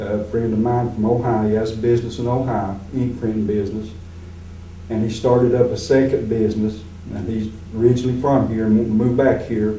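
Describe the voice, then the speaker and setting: A man with a medium pitch speaks in a flat monotone, with audible room echo and noticeable background noise. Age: 60s. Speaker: retired teacher, political candidate. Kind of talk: candidate interview.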